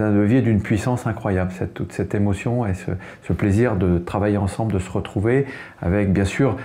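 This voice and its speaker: Fairly low-pitched man with ordinary pitch variation amid noticeable background noise. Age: 60s. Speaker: business executive. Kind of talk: interview testimony. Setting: interview at an event. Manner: halting, with repetitions and hesitations.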